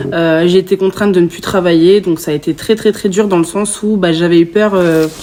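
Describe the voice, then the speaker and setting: A woman's fairly low-pitched voice with fairly even intonation, amid noticeable background noise. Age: 20s. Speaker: podcast guest sharing covid experience. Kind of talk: testimony. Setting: in-person podcast recording.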